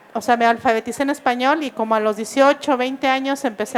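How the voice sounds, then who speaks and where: There is noticeable background noise as a woman talks. Her pace is fairly quick and her intonation fairly even. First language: Mixe (speaking Spanish). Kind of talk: book presentation talk. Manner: hesitant, many fillers.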